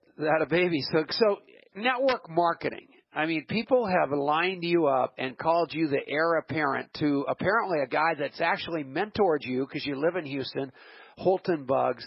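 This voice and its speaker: An animated man's voice, fairly high for a man, at a moderate pace with ordinary pitch variation. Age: 60s. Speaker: radio host. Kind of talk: radio interview.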